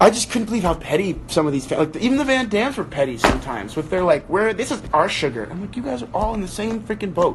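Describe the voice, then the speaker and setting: The speaker sounds animated and talks very fast, with noticeable background noise behind them. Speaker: online book club host. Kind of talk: casual livestream chat. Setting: live video stream.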